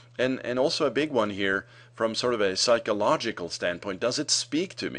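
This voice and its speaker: A man with a medium pitch speaks with vocal fry against a quiet background. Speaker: marketing consultant. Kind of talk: tutorial. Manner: fast; hesitant, many fillers.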